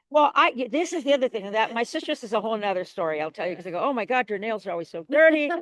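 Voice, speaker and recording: A woman with a fairly high voice races along very fast with hardly any pauses, her pitch swinging very widely. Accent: American. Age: 70s. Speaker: community gardener. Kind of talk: interview.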